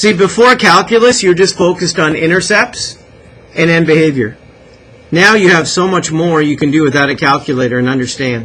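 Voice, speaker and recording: A man with a Canadian accent talks at a fairly quick pace. His pitch is high. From Canada. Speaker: math teacher. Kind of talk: classroom lecture. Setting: classroom. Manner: animated. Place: classroom.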